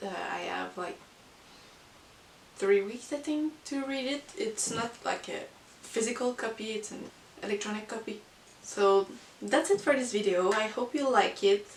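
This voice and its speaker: Amid noticeable background noise, the speaker goes at a fairly slow pace with long, frequent pauses, ordinary pitch variation and big swings in loudness. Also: woman, fairly high pitch for a woman. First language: not English. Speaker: book vlogger. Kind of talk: casual monthly book review. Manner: hesitant, many fillers.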